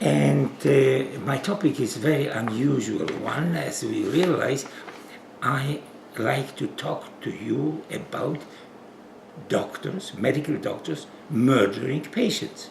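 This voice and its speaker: Speaking very slowly with long, frequent pauses, a man with a Polish accent uses lively intonation at a medium pitch, with audible room echo and noticeable background noise. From Poland. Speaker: physician. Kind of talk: interview. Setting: at home.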